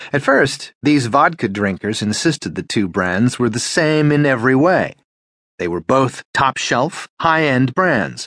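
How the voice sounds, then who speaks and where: A man speaks in a normal speaking voice at medium pitch and a fairly slow pace, with lively intonation. The sound is dry and close with no echo, over a quiet background. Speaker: audiobook narrator. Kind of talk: audiobook narration. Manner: even, measured, formal narrator.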